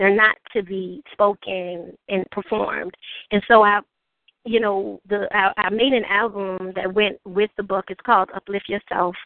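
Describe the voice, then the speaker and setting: Flat and monotone, a woman speaks at a medium pitch with a New Orleans accent. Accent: New Orleans Southern US. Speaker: author and spoken word poet. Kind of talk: interview.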